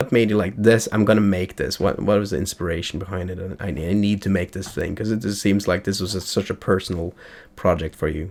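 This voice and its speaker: This man speaks at a very fast pace. His pitch sits fairly low and his intonation stays fairly even. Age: 30s. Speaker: streamer and interviewer. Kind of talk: interview.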